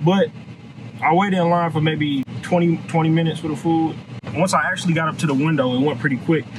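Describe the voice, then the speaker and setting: Noticeable noise fills the background as a man talks. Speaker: food reviewer. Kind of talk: casual vlog chat. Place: car. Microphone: phone near.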